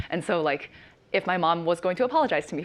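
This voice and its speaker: A woman is speaking. Her pace is very fast. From Chinese family background. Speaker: panelist. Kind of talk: panel discussion. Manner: halting.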